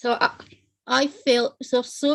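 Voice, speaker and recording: A woman's high voice with a Scottish accent, fairly slow and with fairly even intonation. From Scotland. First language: Italian. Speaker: panel guest on non-profit show. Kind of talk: personal testimony in panel discussion.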